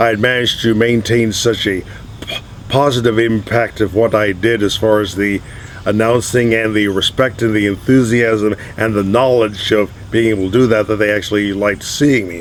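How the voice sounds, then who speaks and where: Over noticeable background noise, a man with a fairly low pitch talks at a moderate pace in a monotone, flat intonation. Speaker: broadcaster and race track announcer. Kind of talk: interview answer.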